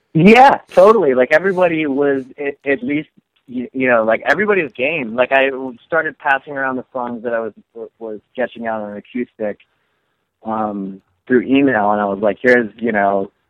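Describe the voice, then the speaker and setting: A man with an ordinary speaking voice at medium pitch, moderate pace and lively intonation. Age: 30s. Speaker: musician. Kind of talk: casual chat.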